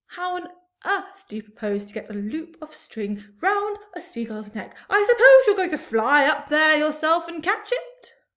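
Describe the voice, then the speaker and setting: A woman puts on a character voice at an extremely high pitch, raised and projected. Her pitch swings very widely and her loudness shifts a lot, all at a moderate pace. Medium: read story. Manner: anxious, complaining.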